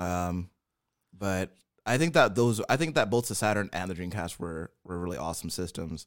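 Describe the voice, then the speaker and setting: A man's very deep, low voice at a moderate pace, with ordinary pitch variation. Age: 30s. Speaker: podcast host. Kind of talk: casual banter.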